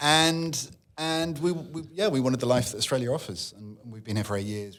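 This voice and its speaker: With a British accent, a man talks at a very fast pace using lively intonation. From England. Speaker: media executive. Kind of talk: casual chat.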